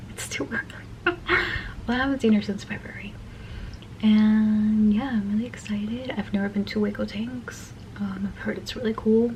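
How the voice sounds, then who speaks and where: A woman's whisper at a moderate pace, with noticeable background noise. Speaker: vlogger. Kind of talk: casual vlog chat. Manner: whispering; halting.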